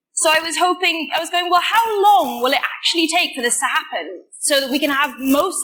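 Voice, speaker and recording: A woman with a Welsh accent speaks in a raised, projected voice. Her intonation is lively. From Wales. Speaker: computer science student. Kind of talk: conference talk. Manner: casual, with many fillers.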